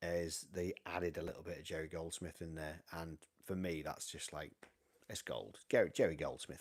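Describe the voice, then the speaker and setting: A man speaks with a North Welsh accent. His pitch is very deep and low, and his pace is moderate. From North Wales, Llandudno. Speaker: vinyl collector livestream host. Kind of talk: casual live stream chat reading viewer comments. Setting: home live stream on camera. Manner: animated.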